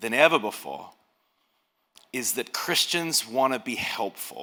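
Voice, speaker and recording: A man with an Australian accent speaks very slowly in a bright, sharp tone with lively intonation and vocal fry, on a very clean recording with a silent background. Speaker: pastor. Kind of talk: speech. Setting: stage with audience.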